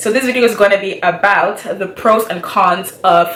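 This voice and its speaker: Noticeable background noise runs under this recording. A woman speaks in a medium pitch. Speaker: YouTuber, engineering graduate. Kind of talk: vlog talk to camera. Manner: fast; animated.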